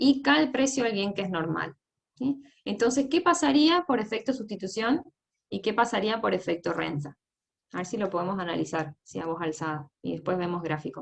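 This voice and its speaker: A woman with vocal fry speaks fairly quickly at a medium pitch, her voice swinging very widely in pitch. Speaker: economics teaching assistant. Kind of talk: lecture. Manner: fast.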